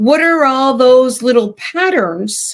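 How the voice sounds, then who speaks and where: A woman at a very slow pace with lively intonation, on a very clean recording with a silent background. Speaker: spiritual podcast host. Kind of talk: casual spiritual group discussion. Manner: halting, many fillers and restarts.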